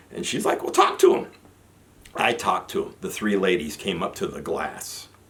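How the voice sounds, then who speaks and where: The man speaks at a moderate pace with big swings in loudness, over noticeable background noise. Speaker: army veteran vlogger. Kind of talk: personal storytelling monologue.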